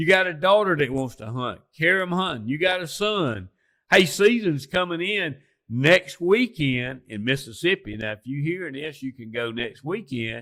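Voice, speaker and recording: In an Alabama accent, a man with a fairly high pitch and a bright, sharp tone talks at a moderate pace, with very wide pitch swings and big swings in loudness, on a very clean recording with a silent background. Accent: Southern US (Alabama). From US South, lower Alabama. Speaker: turkey hunter and outdoorsman. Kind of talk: casual chat. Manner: animated.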